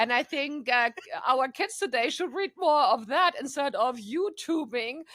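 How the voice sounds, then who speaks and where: Woman with lively intonation at a moderate pace, in a very clean recording with a silent background. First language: not English. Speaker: AI council member. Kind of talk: casual interview conversation.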